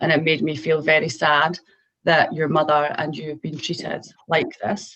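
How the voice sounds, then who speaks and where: In a Scottish accent, a woman speaks with a very deep, low pitch and ordinary pitch variation. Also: moderate pace. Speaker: mental health professional. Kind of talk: educational talk to students.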